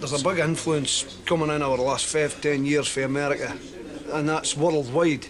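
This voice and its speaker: A man's fairly high-pitched voice in a strong Dundee accent, at a moderate pace with fairly even intonation, amid noticeable background noise and audible room echo. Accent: broad Dundee Scots. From Scotland, Dundee. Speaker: performance poet. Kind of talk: interview.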